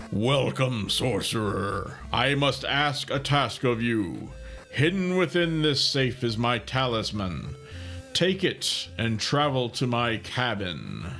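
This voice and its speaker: A man puts on a character voice at a medium pitch, speaking at a fairly slow pace. Music plays clearly in the background. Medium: game stream. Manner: booming, grand.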